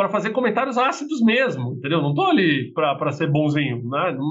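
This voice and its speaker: With lively intonation and a high pitch, a man speaks at a moderate pace amid audible room echo. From Brazil, Minas Gerais; raised in São Paulo from 11. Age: 40s. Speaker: business executive. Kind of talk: interview conversation.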